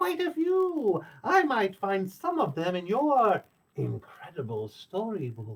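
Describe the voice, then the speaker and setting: In a squeaky, put-on character voice, a man speaks at a high pitch and a fairly slow pace. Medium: read story.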